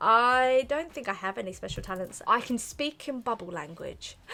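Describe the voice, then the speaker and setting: A woman speaks with a London accent at a fairly high pitch. Her tone is bright and sharp. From South London. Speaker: YouTuber, young mother. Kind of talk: casual chat to camera, Q&A. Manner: chatty, hesitant with fillers.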